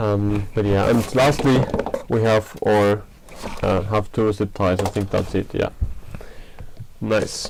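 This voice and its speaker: Speaking at a moderate pace with a non-native accent, a man with a fairly low pitch is heard over noticeable background noise. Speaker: 3D printing maker, channel owner. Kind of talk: live stream unboxing. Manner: hesitant, many fillers. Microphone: bad audio.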